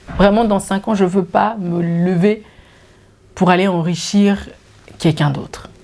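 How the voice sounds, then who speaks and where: Very slow speech from a woman with a Swiss French accent and a fairly low pitch, against noticeable background noise. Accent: Geneva Swiss French. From Switzerland, Geneva. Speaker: YouTuber. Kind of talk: casual Q&A vlog. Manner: animated.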